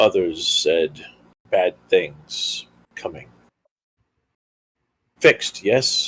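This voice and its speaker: A man puts on a character voice at an extremely high pitch. He speaks at a very slow pace with long, frequent pauses. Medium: actual play. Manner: terse, broken grammar.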